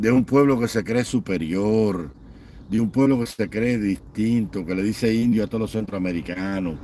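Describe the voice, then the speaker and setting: A man speaks at a fairly low pitch with a dark, mellow tone. His pitch varies in an ordinary way. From Cuba. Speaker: online political commentator. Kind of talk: livestream commentary rant. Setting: live online stream. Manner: animated, impassioned.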